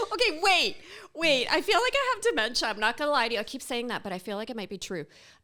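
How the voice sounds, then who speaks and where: A woman with a high pitch uses a raised, projected voice at a very fast pace, her pitch swinging very widely. Her loudness shifts a lot, and there is noticeable background noise. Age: 50s. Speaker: podcast co-host, real estate agent. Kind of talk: casual chat.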